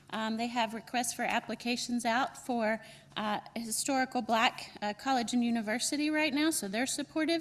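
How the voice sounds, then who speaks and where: A woman's high-pitched voice in a North Carolina accent, at a moderate pace. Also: ordinary pitch variation. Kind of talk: welcome speech at conference.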